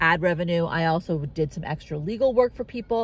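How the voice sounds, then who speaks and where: A woman speaks at a moderate pace with a fairly low pitch. The sound is dry with no echo. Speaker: car-living nomad vlogger. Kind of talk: casual vlog chat. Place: car. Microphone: phone near.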